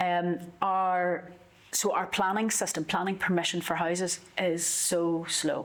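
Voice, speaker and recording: A fairly slow, monotone, flat delivery in a Northern Irish accent, with very even loudness. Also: woman, fairly low pitch for a woman. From Northern Ireland. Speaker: politician. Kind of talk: interview.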